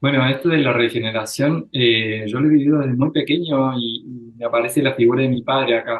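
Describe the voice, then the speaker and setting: Speaking at a fairly quick pace with an Argentine accent, a man keeps his medium-pitched voice fairly even in intonation. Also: hardly any pauses. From Argentina. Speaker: psychologist. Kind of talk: interview. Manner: halting.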